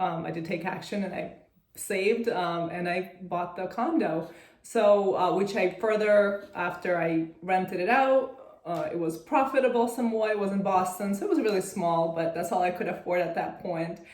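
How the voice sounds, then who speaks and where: A woman with a Russian accent at a medium pitch and moderate pace, amid audible room echo and noticeable background noise. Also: ordinary pitch variation. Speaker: real estate syndicator. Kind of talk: interview. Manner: hesitant, many fillers.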